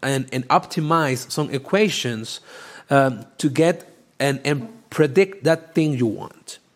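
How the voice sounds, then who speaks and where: A man with a strong non-native accent and fairly high pitch, very slow pace and ordinary pitch variation, in a very clean recording with a silent background. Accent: thick non-native. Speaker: podcast host and data science educator. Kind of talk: live-streamed educational talk. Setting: LinkedIn Live stream. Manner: halting, many fillers.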